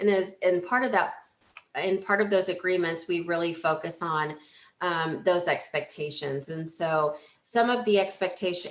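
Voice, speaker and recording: A woman's plain, everyday voice, fairly low in pitch, at a moderate pace with fairly even intonation. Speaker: healthcare organization leader. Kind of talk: webinar presentation. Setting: webinar.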